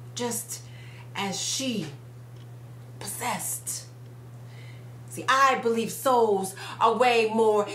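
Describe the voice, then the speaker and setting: A woman is speaking. She goes at a very slow pace. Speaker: spoken word poet. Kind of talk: spoken word poetry performance. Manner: blunt, forceful.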